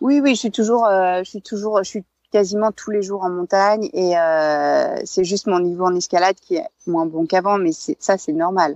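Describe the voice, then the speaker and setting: A woman speaks in a plain, everyday voice at medium pitch and a moderate pace, with ordinary pitch variation and a dry, close sound with no echo. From France, Savoie (Alps). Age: 40s. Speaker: former climbing world champion, mountaineer. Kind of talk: interview.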